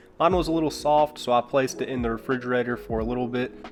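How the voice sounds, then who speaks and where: A man talks with a slight Southern US accent. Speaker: cooking youtuber. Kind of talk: cooking tutorial.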